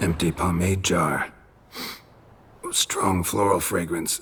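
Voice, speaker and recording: In a put-on character voice, the speaker delivers lines deadpan at a fairly slow pace, raspy and very deep in pitch. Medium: video game. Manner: terse, deadpan.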